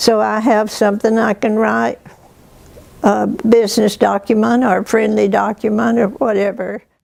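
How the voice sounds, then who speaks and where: A woman talks at a fairly high pitch and a moderate pace, with vocal fry. Her intonation is monotone and flat. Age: old. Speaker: retired prison education worker. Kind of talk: interview testimony. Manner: halting.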